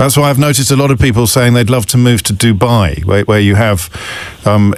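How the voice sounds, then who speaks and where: Very fast and with ordinary pitch variation, a man talks as noticeable noise sounds behind him. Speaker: radio phone-in host. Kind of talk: radio phone-in talk.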